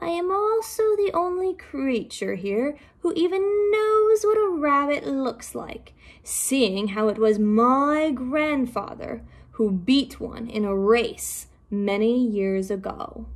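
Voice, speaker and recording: A woman puts on a character voice, high-pitched and gravelly, speaking at a fairly slow pace with very wide pitch swings. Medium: read story.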